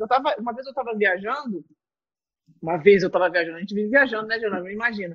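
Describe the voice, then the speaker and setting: The speaker is a woman talking very fast. She uses lively intonation. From Rio de Janeiro, Brazil. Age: 30s. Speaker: entrepreneur and show host. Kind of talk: casual interview chat.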